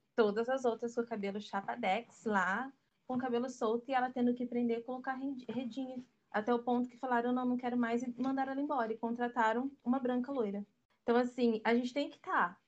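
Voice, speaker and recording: A woman talks at a fairly quick pace in a high pitch. Her intonation stays fairly even. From Brazil, urban periphery. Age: 20s. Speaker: photographer and stylist. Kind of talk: casual chat.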